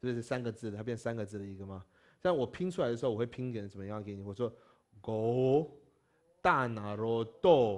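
At a moderate pace over a quiet background, the voice shows big swings in loudness and ordinary pitch variation. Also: man. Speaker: Tibetan language teacher, Buddhist monk; language teacher. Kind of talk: lecture. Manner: halting. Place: classroom. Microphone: lapel.

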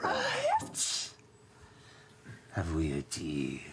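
Over loud background noise, a man uses a put-on character voice pitched very deep and low. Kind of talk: spooky fantasy villain voice. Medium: actual play. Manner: calm, measured, archaic phrasing; cold, hungry bargaining.

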